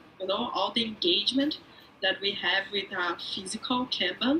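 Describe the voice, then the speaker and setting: Speaking in a Portuguese accent, a woman uses lively intonation at a moderate pace. Noticeable background noise runs underneath. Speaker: agile coach, remote teams expert. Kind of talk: talk show interview.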